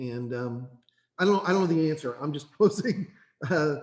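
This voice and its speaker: A man speaks with an Eastern Kentucky accent. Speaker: workforce board member. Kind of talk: committee meeting discussion. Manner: repetitive, stammering restarts.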